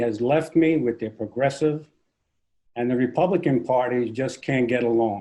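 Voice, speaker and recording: A man with a dark, mellow tone speaks at a moderate pace with ordinary pitch variation. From New Jersey. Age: 70s. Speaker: congressional candidate, retired teacher. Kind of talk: interview. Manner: halting.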